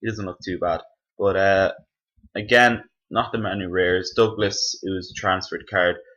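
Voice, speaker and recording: A man with an Irish accent speaks at a moderate pace in a fairly low, bright and sharp voice, his intonation flat and monotone. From Ireland. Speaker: gaming youtuber. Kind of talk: gameplay commentary. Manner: casual, halting with fillers.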